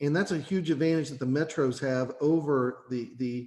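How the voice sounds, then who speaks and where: Here a man with an Eastern Kentucky accent speaks in a fairly high voice. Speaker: workforce board member. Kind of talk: committee meeting discussion. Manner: repetitive, stammering restarts.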